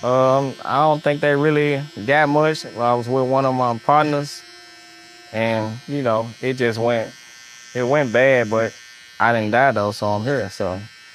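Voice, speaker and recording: Clear background noise sits beneath the voice. The delivery is rather slow. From North Memphis, Tennessee. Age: 30s. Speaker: barber. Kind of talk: street interview.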